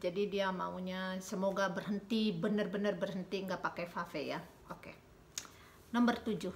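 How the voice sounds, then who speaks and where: At a moderate pace, a woman speaks in a medium pitch with monotone, flat intonation and big swings in loudness. Light background noise is present. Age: 40s. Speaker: YouTuber; couple vlogger. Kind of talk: casual chat. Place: home room. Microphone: phone near.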